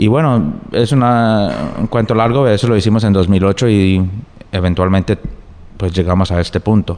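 At a moderate pace, a man speaks with fairly low pitch, ordinary pitch variation and very even loudness. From US, New Jersey, Colombian family. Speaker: novelist and lawyer. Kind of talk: interview. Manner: halting, with many fillers and repetitions.

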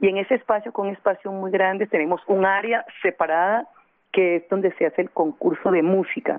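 Speaking at a fairly quick pace, a woman with a plain, everyday voice keeps a medium pitch and ordinary pitch variation. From Colombian Pacific coast, Buenaventura. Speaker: city culture official. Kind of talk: radio interview.

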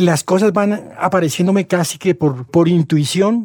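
Pitched high, a man talks at a moderate pace with ordinary pitch variation, recorded dry and close with no echo. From Colombia, Bogotá. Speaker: novelist. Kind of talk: interview.

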